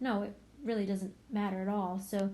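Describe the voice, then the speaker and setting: Fairly quick, somewhat breathy speech from a woman, pitched in the middle range. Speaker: math teacher. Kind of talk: video lesson. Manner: fast; casual, conversational.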